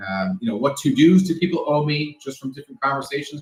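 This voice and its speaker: Talking at a very fast pace, a man with an American accent uses a fairly high pitch and lively intonation. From New York City. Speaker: security expert. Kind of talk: casual interview.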